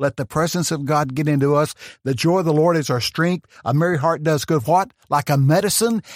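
In a Texan accent, a man speaks quickly at a fairly high pitch with an animated tone, ordinary pitch variation and very even loudness, recorded dry and close with no echo against a silent, very clean background. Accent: Texan Southern US. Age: 70s. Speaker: preacher. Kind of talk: testimony. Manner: fast talker; animated storyteller.

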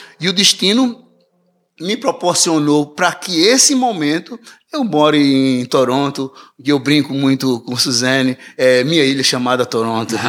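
With a normal speaking voice, a man speaks at a fairly slow pace, his fairly high pitch carried by lively intonation. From Recife, Brazil. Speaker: musician. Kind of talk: casual interview.

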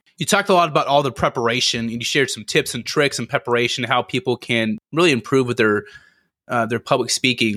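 Recorded very cleanly against a silent background, a man's medium-pitched voice has a bright, sharp tone, a fairly quick pace, and a dry, close sound with no echo. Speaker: podcast host. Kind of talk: interview. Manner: halting.

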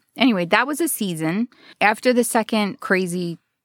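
Animated and lively in intonation, a woman with a fairly high pitch speaks at a fairly slow pace. The recording is very clean with a silent background, the sound dry and close with no echo. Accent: New Jersey. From New Jersey, US Northeast. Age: 40s. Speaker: comedian. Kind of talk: casual interview chat. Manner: animated, laughs often.

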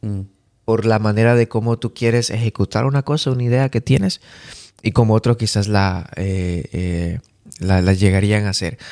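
A man's dark, mellow, fairly low voice at a moderate pace with ordinary pitch variation, dry and close with no echo, on a very clean recording with a silent background. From Bolivia. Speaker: podcast host. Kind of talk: casual chat.

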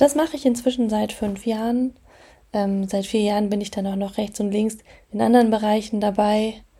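A woman with a fairly high pitch speaks at a moderate pace in a dark, mellow, somewhat breathy tone, her intonation fairly even. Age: 20s. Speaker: podcast host and property manager. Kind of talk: casual solo podcast monologue.

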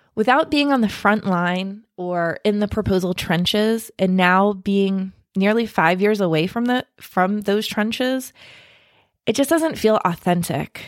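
On a very clean recording with a silent background, a woman speaks at a fairly slow pace in a plain, everyday voice, with a medium pitch and ordinary pitch variation. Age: 40s. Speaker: podcast host and marketing consultant. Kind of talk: personal monologue.

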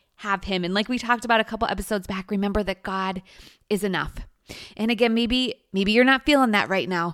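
A woman with a fairly high pitch and fairly even intonation speaks in an ordinary speaking voice, captured in a very clean recording with a silent background. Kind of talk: guided meditation. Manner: warm, inviting, soft-spoken.

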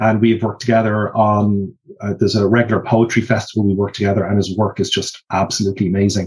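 Somewhat breathy man with an Irish accent at a very fast pace. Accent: mild Drogheda Irish. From Ireland, Drogheda (County Louth). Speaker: sign language interpreter. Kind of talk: interview. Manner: hesitant.

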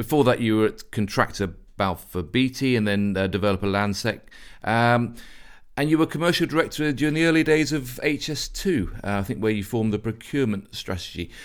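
Here is a man with an ordinary speaking voice, medium in pitch and fairly quick, with lively intonation. The recording is very clean, the background silent. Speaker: podcast host. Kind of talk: interview.

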